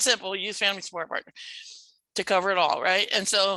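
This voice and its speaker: A woman at medium pitch, bright, sharp tone, fairly even intonation, dry, close sound with no echo, quiet background. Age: 60s. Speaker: family support advocate. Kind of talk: presentation. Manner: fast.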